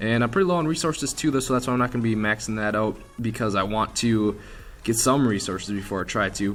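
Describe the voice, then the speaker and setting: Music plays in the background. A man talks very fast at a medium pitch. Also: ordinary pitch variation. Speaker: gaming youtuber. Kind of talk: gameplay commentary. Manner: casual, halting with restarts.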